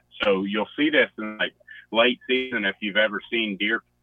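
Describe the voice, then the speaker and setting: A man with a strong Southern US accent speaks in a fairly low voice. His pace is moderate and his intonation fairly even. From West Virginia (Boone County). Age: young. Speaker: hunter. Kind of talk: casual chat.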